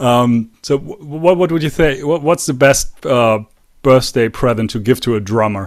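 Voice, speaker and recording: Using a medium pitch and ordinary pitch variation, a man with a German accent speaks at a fairly slow pace. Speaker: podcast host. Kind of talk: interview.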